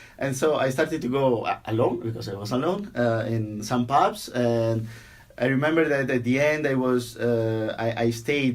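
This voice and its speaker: A man's medium-pitched voice with an Italian accent. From Italy, near Venice. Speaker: software engineer. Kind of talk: interview. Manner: halting, many repeated words.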